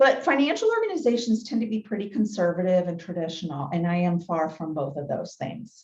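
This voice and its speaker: A woman talks at a moderate pace with an energetic tone. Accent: Southern US. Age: 40s. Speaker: motivational speaker. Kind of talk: keynote talk. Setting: business luncheon meeting, hybrid. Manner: loud.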